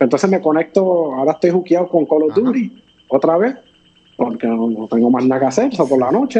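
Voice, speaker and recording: Speaking with a Puerto Rican accent, a man talks at a fairly quick pace. His pitch is fairly high and his intonation lively. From Puerto Rico. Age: 40s. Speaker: fitness influencer. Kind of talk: interview. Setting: video call.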